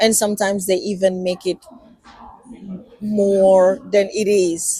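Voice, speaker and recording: A woman speaks at a medium pitch and a fairly slow pace. Her intonation is monotone and flat. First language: not English. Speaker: podcast co-host. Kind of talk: casual chat. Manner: halting.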